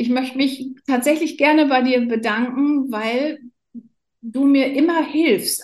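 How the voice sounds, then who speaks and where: With fairly even intonation, a woman talks at a very slow pace in a high pitch. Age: 50s. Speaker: nurse. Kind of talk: casual interview.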